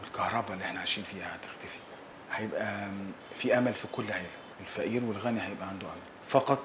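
Noticeable background noise sits behind talking that goes at a fairly quick pace. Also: man. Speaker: interviewee. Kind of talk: interview answer. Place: office. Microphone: lapel.

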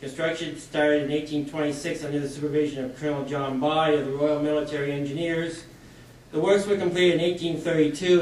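A man's fairly high voice, monotone and flat, at a moderate pace with audible room echo. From Canada. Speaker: civil engineer. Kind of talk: panel presentation. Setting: stage with audience. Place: hall. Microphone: podium.

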